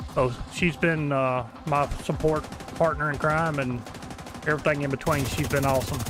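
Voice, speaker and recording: Over music in the background and audible room echo, a man with a strong rural American accent speaks at a moderate pace, his fairly high voice keeping a fairly even intonation. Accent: heavy country. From Kentucky. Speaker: video game streamer. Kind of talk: live gameplay stream chat. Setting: live stream while gaming.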